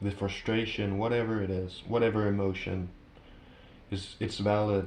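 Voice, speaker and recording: Spoken at a moderate pace in a flat monotone, the voice carries audible room echo. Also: man, fairly low pitch for a man. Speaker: tarot reader. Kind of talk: tarot reading to camera. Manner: halting, with fillers.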